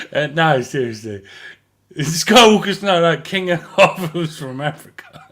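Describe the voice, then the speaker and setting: Speaking at a fairly slow pace, a man with an English accent and a fairly high pitch uses lively intonation and big swings in loudness. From England. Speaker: fan community admin on a livestream panel. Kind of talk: casual chat.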